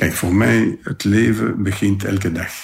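This man's voice sits fairly low and sounds somewhat breathy. He talks at a fairly slow pace. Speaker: convicted gangster. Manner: halting, reflective.

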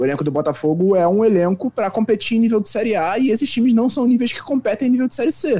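A man with a high pitch and a dark, mellow tone rushes along at a very fast pace with lively intonation and hardly any pauses. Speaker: sports reporter. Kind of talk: casual sports discussion.

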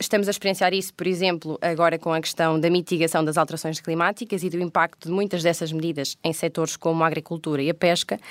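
A woman talking at a very fast pace, fairly even in intonation, with hardly any pauses. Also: fairly low pitch for a woman, dry, close sound with no echo. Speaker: podcast co-host. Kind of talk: moderated panel discussion. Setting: recorded on location at parliament.

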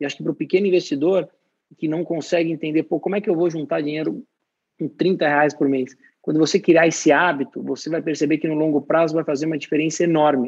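At a very fast pace, a man talks in a fairly high voice. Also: fairly even intonation. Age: 30s. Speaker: company CEO. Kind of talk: interview.

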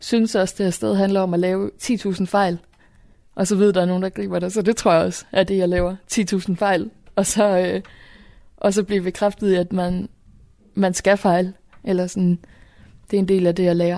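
A woman's medium-pitched, dark, mellow voice at a moderate pace, monotone and flat, with long, frequent pauses, on a very clean recording with a silent background. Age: 20s. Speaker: youth event organiser. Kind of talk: interview.

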